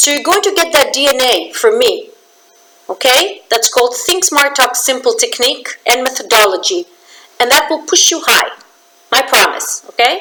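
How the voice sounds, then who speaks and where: A woman's high voice is raised and projected, animated, with very wide pitch swings. Her loudness stays very even over noticeable background noise. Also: moderate pace. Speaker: business communication trainer. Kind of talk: promotional talk to camera.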